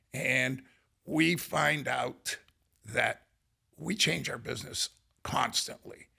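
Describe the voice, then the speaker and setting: A man with an American accent speaks at a very slow pace. He leaves long, frequent pauses. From northern Ohio. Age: 70s. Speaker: business owner. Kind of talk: podcast interview.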